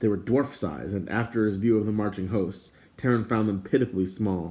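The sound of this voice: The delivery is an unforced reading voice with fairly even intonation.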